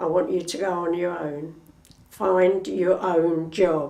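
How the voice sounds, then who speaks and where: At a very slow pace, a woman speaks with a medium pitch in audible room echo. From East London. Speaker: retired factory worker. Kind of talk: oral history interview.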